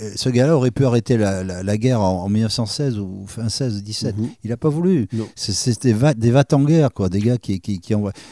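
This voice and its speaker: This man has a dark, mellow tone at a medium pitch, with ordinary pitch variation. He speaks at a moderate pace, and the sound is dry and close with no echo. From France, Bordeaux / Arcachon basin. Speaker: crime novelist and former TV weather presenter. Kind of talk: casual interview. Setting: interview at his home. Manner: halting.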